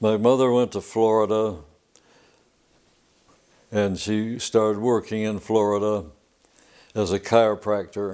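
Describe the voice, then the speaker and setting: A man with an American accent speaks slowly in a dark, mellow tone at a fairly low pitch, monotone and flat, with long, frequent pauses. The recording is very clean, with a silent background. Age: 90s. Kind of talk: oral history interview answer. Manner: hesitant, many filler words.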